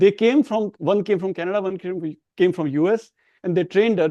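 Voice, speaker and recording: Speaking with an Indian accent, this voice has a dark, mellow tone and ordinary pitch variation, heard dry and close with no echo over a quiet background. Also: man. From India, small Hindi-speaking town. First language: Hindi. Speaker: professor of religious studies. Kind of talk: interview. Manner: halting.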